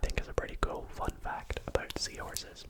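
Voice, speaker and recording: A relaxed whisper against noticeable background noise. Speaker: ASMR content creator. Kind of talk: ASMR whispered facts reading, casual chat to camera. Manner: whispered, soft, relaxed.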